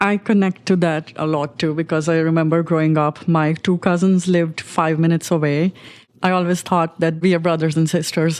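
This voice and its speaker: The recording is very clean with a silent background, and a woman speaks in a fairly low pitch with monotone, flat intonation. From India. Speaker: podcast host. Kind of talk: interview.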